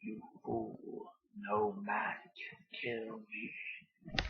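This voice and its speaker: A man's raspy, put-on character voice. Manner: menacing.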